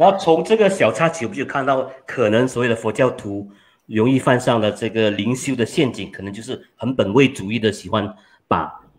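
Speaking at a moderate pace, a man uses lively intonation and big swings in loudness. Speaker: talk show moderator. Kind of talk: panel discussion. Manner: joking. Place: home room. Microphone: studio mic.

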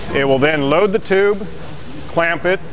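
A man with a fairly high pitch and ordinary pitch variation at a moderate pace, clear background noise behind him

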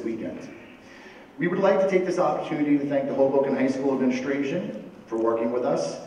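A man speaks at a very fast pace. There is light background noise and audible room echo. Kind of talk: ceremony speech. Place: hall.

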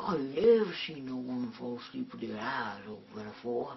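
A man uses a put-on character voice at medium pitch. He speaks at a moderate pace over clear background noise. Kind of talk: comic overacting. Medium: comedy sketch. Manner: drawling, rambling, folksy.

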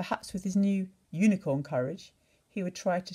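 Pitch varies in an ordinary way in this plain reading aloud.

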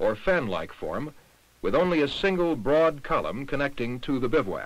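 A man with vocal fry and lively intonation, fairly high in pitch, at a moderate pace. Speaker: documentary narrator. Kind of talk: vintage educational film narration, scripted and didactic. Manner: formal, measured, even-paced and authoritative; impersonal and didactic, like a 1960s science film.

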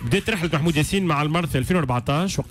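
A man's somewhat breathy voice at a very fast pace, ordinary in pitch variation, in a dry sound with no echo over light background noise. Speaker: radio host. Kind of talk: radio news commentary. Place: studio. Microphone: studio mic.

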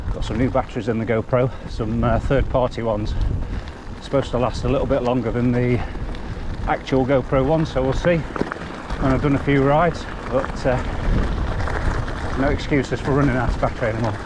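Noticeable background noise sits behind a man whose sound is dry with no echo. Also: fairly even intonation, fairly quick pace. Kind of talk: casual vlog chat. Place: bicycle. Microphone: helmet.

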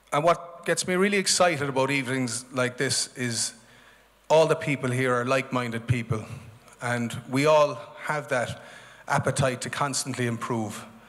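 A man speaks, his pitch shifting in an ordinary way. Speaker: event host. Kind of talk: opening address to an audience. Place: stage. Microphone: handheld.

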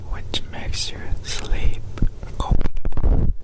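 Over noticeable background noise, a very slow whisper unfolds. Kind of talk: ASMR whisper video. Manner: whispered.

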